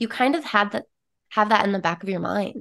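A woman with an American accent and a normal speaking voice talks at a moderate pace and fairly high pitch, with ordinary pitch variation, against a quiet background. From US West, small-town Utah. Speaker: empowerment coach. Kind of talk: casual interview chat.

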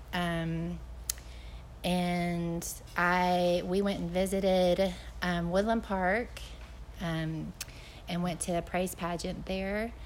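Delivered at a very slow pace with long, frequent pauses, the monotone, flat speech comes through with audible room echo. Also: woman, fairly low pitch for a woman. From Chattanooga, Tennessee. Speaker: missionary. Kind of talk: interview at church event.

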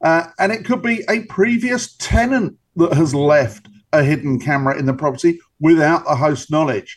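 Pitch swings very widely in this man's speech. He keeps a moderate tempo. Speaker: cybersecurity expert. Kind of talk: interview.

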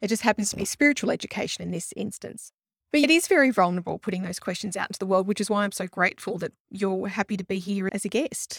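A somewhat breathy, medium-pitched woman's voice at a very fast pace, dry and close with no echo. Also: ordinary pitch variation. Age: 40s. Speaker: astrologer and podcast host. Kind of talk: astrology reading consultation.

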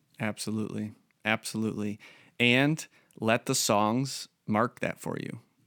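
A normal speaking voice, with fairly even intonation at a fairly slow pace, comes through a dry, close sound with no echo in a very clean recording with a silent background. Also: man, medium pitch for a man. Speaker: church pastor and podcast host. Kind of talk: casual interview chat. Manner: conversational, with filler words.

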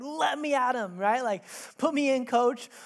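A woman's put-on character voice, growling and high-pitched, at a moderate pace. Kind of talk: casual, playful. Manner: snarling, aggressive, eager.

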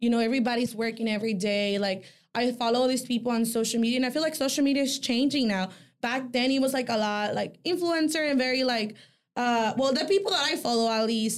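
At a very fast pace, a woman speaks in a high voice with a Mexican accent, very even loudness, and ordinary pitch variation. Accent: Mexican-sounding. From El Salvador. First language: Spanish. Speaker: boutique owner. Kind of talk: casual chat. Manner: hesitant with fillers.

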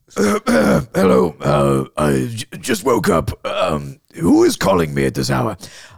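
Putting on a character voice, a man drops to a very deep, low pitch and talks at a very slow pace. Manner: terribly scary.

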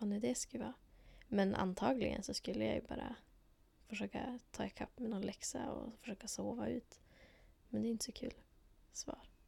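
Her pace is moderate. The woman pauses often, and the pauses run long. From northern Sweden, Lycksele. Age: 20s. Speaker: student teacher. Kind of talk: interview.

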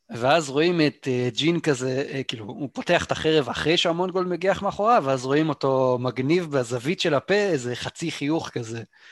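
A man with a fairly high pitch talks at a moderate pace with lively intonation and hardly any pauses. The sound is dry and close with no echo, though noticeable background noise is present. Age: 30s. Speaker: gaming podcast co-host. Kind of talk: casual chat.

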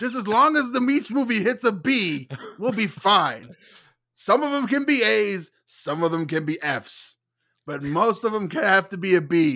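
Raised and projected, a man's high-pitched voice with a bright, sharp tone moves at a fairly slow pace through very wide pitch swings on a very clean recording with a silent background. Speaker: movie podcaster. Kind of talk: casual chat.

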